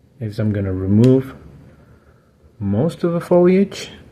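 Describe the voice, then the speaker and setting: A man with a non-native accent speaks at a fairly slow pace and medium pitch. His voice is somewhat breathy and dark and mellow in tone, with lively intonation. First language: not English. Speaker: bonsai hobbyist YouTuber. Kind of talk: tutorial. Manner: casual, relaxed.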